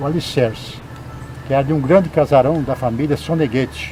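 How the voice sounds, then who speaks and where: With music in the background, a man speaks at a moderate pace and medium pitch with ordinary pitch variation. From Espírito Santo, Brazil. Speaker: writer and poet. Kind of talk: oral history testimony, local heritage tour.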